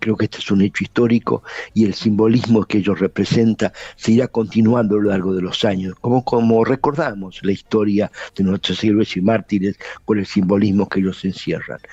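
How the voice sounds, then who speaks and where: Speaking at a fairly quick pace, a man with a fairly low pitch keeps his intonation fairly even, the sound dry and close with no echo but with noticeable background noise. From Argentina. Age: 80s+. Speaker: lawyer and former guerrilla commander. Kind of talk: interview.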